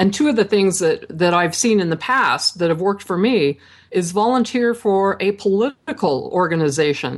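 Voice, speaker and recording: A woman with an American accent and a normal speaking voice, medium in pitch, at a moderate pace with lively intonation and very even loudness. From Idaho, US. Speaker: author and networking expert. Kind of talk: interview.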